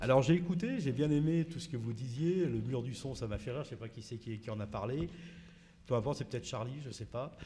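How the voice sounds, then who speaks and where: Somewhat breathy, with a dark, mellow tone, a man speaks at a fairly quick pace with medium pitch and ordinary pitch variation. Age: 50s. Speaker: radio host. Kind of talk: interview with children. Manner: animated.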